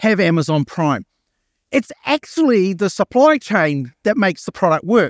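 A man talks at a fairly quick pace with lively intonation, his sound dry and close with no echo on a very clean recording over a silent background. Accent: Australian. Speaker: marketing executive and keynote speaker. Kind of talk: keynote talk. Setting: stage with audience. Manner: animated, casual.

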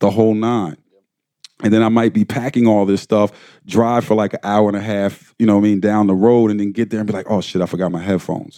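A man with an American accent talks in a fairly low, dark, mellow voice with monotone, flat intonation, recorded dry and close with no echo. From Delaware, US (Wilmington). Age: 30s. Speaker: music engineer. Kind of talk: lecture interview.

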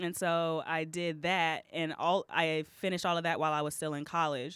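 A woman with an American accent, fairly low pitch and moderate pace, a plain, everyday voice, in a very clean recording with a silent background. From Texas. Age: young. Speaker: comedian and musician. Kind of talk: casual interview chat.

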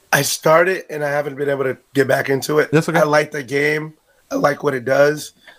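Speaking at a fairly quick pace, a man with a fairly high pitch keeps a monotone, flat intonation. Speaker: podcaster. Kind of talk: casual chat.

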